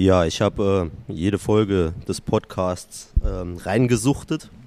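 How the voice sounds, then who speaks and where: Speaking with a slight Saarland accent, a man uses a fairly low pitch and ordinary pitch variation. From Saarland, Germany. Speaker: podcast listener, company employee. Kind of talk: casual chat. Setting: workshop.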